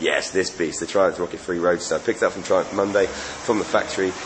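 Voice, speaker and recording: Amid noticeable background noise, a man with an English accent talks at a very fast pace. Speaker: radio DJ and motorcycle reviewer. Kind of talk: casual vlog review.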